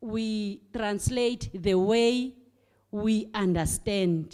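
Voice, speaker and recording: Speaking in a South African accent, a woman with a fairly high pitch and a dark, mellow tone moves at a very slow pace with ordinary pitch variation. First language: Xhosa. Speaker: primary school teacher. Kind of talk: audience comment at book launch discussion. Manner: halting, many fillers and repetitions.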